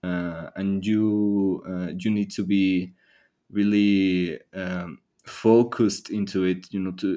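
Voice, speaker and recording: A man with a Spanish accent speaks in a very deep, low voice. His intonation is monotone and flat, and the background is quiet. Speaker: university student. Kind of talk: interview. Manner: halting.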